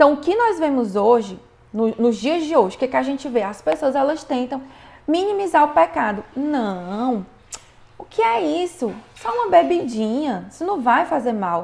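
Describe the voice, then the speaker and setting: A woman speaks at a moderate pace in a high voice with very wide pitch swings. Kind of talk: online class, religious teaching.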